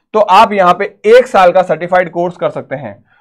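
The man speaks at a high pitch. The background is quiet. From India. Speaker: nursing entrance exam coach. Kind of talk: educational tutorial video. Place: classroom. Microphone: lapel.

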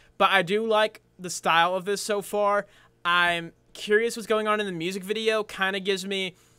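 Against a quiet background, a man speaks in a raised, projected voice with a bright, sharp tone. His pace is moderate and his intonation monotone and flat. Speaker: reaction video host. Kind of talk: casual reaction commentary. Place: home room.

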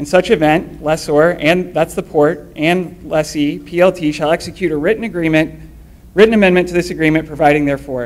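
A man with a normal speaking voice, fairly high in pitch, with fairly even intonation and a fairly quick pace. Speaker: citizen commenter, op-ed writer; citizen commenter. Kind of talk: public comment. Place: meeting room. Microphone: podium.

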